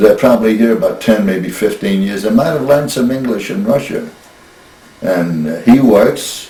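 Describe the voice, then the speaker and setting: A man's medium-pitched voice in an American accent, with ordinary pitch variation and a moderate pace, plus audible room echo and noticeable background noise. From US Northeast, Brooklyn New York. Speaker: grandfather interviewed about family history. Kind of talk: casual interview. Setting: family kitchen.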